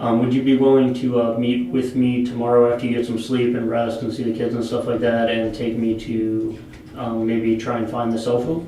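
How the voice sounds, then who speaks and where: Amid noticeable background noise and audible room echo, a man speaks at a moderate pace in a monotone, flat way. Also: medium pitch for a man. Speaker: police investigator. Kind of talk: police interview. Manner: loud; halting.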